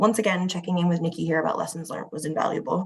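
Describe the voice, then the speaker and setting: A somewhat breathy woman with an American accent. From United States. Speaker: museum curator. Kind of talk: conference presentation. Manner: hesitant fillers.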